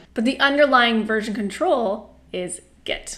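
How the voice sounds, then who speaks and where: A woman speaks with lively intonation. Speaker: university instructor. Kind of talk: tutorial. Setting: home apartment. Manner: loud.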